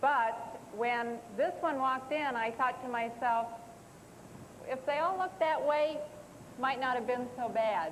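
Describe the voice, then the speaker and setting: Amid audible room echo, a woman with a high pitch speaks fairly slowly, leaving long, frequent pauses. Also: ordinary pitch variation. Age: 40s. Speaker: writer. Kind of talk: TV talk show interview. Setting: studio with audience.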